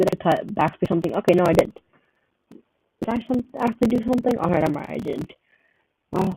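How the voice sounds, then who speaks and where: Quiet and high-pitched, a man with a dark, mellow tone talks at a very fast pace with lively intonation and long, frequent pauses, in a dry, close sound with no echo. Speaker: gaming livestreamer. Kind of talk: livestream commentary while playing. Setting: livestream. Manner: casual, rambling with fillers.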